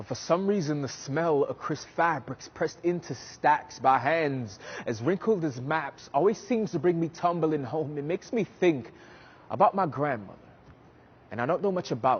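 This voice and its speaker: A man with an American accent and an unremarkable speaking voice talks at a moderate pace, fairly high in pitch, with lively intonation. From US South, New Orleans. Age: 20s. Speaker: spoken word poet. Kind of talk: spoken word performance. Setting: stage.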